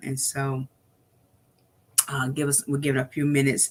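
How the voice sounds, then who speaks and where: Very deep, low-pitched speech from a woman. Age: 60s. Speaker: motivational speaker and livestream host. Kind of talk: motivational livestream talk. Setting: live stream. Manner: animated.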